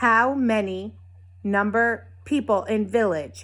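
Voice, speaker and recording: A put-on, growling character voice, female-sounding, at a medium pitch and a fairly slow pace. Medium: read story. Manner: growling, clipped broken phrases.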